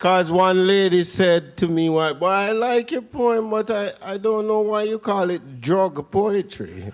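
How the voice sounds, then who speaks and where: A man speaks with a Jamaican accent at a high pitch. His pace is fairly slow. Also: ordinary pitch variation. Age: middle-aged. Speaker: dub poet. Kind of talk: spoken word performance. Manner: rhythmic.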